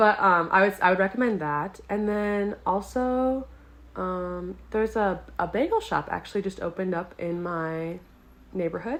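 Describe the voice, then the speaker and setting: A woman's medium-pitched voice with a slight Midwestern accent. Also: ordinary pitch variation, moderate pace. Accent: Midwestern American, soft. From US Midwest, Milwaukee, Wisconsin. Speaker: exchange English teacher. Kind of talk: casual interview chat.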